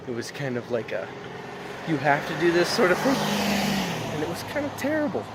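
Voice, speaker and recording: A man's voice with noticeable background noise. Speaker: vlogger. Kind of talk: casual vlog. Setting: outdoors on a walk.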